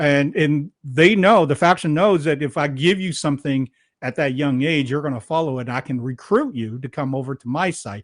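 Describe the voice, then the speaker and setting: A man's unremarkable speaking voice at a fairly high pitch, moderate pace with hardly any pauses, ordinary pitch variation, dry, close sound with no echo, and a quiet background. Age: 60s. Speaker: podcast host. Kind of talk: interview conversation.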